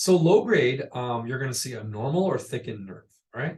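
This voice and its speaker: Somewhat breathy and medium in pitch, a man talks at a fairly quick pace with lively intonation. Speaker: pediatric radiologist presenting. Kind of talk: medical lecture. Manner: fast.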